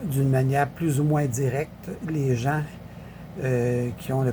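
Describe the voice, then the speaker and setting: A man with a Quebec accent, medium pitch, fairly even intonation and a fairly slow pace. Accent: Québécois French. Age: 70s. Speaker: political commentator. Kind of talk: casual political commentary. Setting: social media video. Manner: halting, many fillers.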